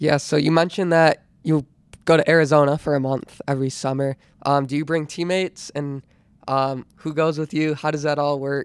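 At a moderate pace, a man speaks in a fairly high, monotone, flat voice. The sound is dry and close, with no echo. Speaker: podcast host, college runner.

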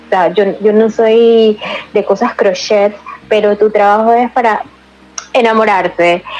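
Over noticeable background noise, the speech moves at a fairly slow pace in a monotone, flat intonation, with very even loudness and long, frequent pauses. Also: woman, fairly high pitch for a woman. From Panama, Colón. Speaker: podcast host. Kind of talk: interview.

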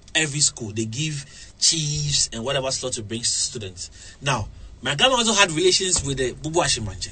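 A man with a fairly high pitch speaks at a fairly quick pace with very wide pitch swings. Noticeable background noise can be heard. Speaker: radio presenter. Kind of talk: casual interview. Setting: radio studio. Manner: halting, repetitive.

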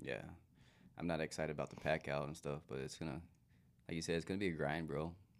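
Talking at a very fast pace yet with long, frequent pauses, a man with an American accent uses a very deep, low voice with vocal fry and monotone, flat intonation. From US Southwest, small-town Arizona. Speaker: hunting podcast co-host and guide. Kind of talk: casual chat.

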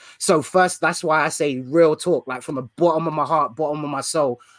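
Fairly high pitch and fairly even intonation from a man in a British accent. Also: dry, close sound with no echo. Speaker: podcast host. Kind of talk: casual interview.

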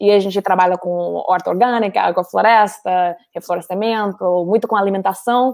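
Moderately paced speech from a woman, medium in pitch, with fairly even intonation. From US, Colorado. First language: English (speaking Portuguese). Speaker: NGO worker, guest. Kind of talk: casual interview chat.

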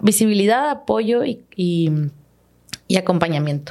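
The woman has an unremarkable speaking voice with ordinary pitch variation. She talks at a fairly slow pace. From Los Mochis, Sinaloa, Mexico. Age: 20s. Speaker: agronomist and podcaster. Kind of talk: casual interview chat. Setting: studio.

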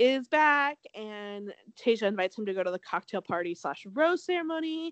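A woman speaks at a fairly slow pace in an animated tone with lively intonation, the sound dry and close with no echo.

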